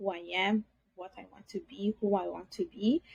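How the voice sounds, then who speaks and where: This woman's somewhat breathy voice sits at a medium pitch with a dark, mellow tone and ordinary pitch variation, recorded with a dry, close sound and no echo. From Italy, Bangladeshi parents. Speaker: podcast guest. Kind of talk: interview testimony.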